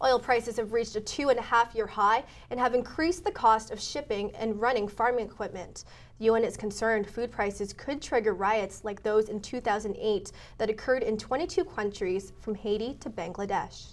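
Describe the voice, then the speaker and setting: Pitched fairly high, a woman speaks at a moderate pace with ordinary pitch variation. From Canada. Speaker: student news anchor. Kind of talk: formal scripted newsreading of grave international headlines. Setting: studio. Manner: measured, sober anchor cadence delivering hard news. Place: studio. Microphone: lapel.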